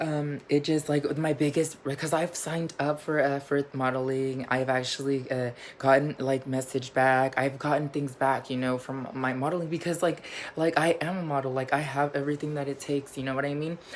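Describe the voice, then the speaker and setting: At a moderate pace, a woman speaks in a very deep, low pitch with monotone, flat intonation. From Mexico. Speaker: vlogger. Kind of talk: casual vlog monologue. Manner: halting, many fillers.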